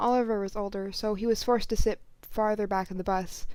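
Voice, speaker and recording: On a very clean recording with a silent background, a woman speaks at a fairly quick pace in a fairly high voice. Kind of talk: story reading. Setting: home recording. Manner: halting, uneven breathing.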